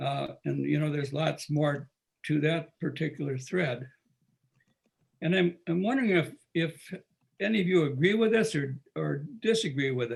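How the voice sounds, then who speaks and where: A man with a fairly high pitch talks at a moderate pace, somewhat breathy, with ordinary pitch variation and long, frequent pauses. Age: 80s+. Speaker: retired teacher, discussion moderator. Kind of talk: group discussion.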